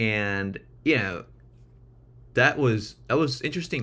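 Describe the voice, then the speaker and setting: On a very clean recording with a silent background, a man speaks with vocal fry and a non-native accent. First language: not English. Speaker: streamer. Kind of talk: casual chat. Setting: live stream. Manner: hesitant, repeats words.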